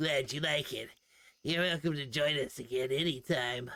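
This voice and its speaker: Putting on a raspy character voice, a man talks at a moderate pace with a fairly high pitch and fairly even intonation. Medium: game stream. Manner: friendly.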